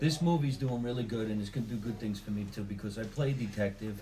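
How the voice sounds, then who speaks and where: Speaking at a very fast pace with a New Jersey accent, a man has a medium pitch, ordinary pitch variation, a somewhat breathy, dark, mellow tone, and audible room echo. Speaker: comedian and actor. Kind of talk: interview.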